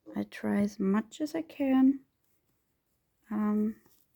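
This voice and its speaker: A somewhat breathy voice with a dark, mellow tone speaks at a very slow pace with ordinary pitch variation. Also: woman. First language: German. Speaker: reborn doll hobbyist vlogger. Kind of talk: casual chat while crafting tutorial. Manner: halting, searching for words.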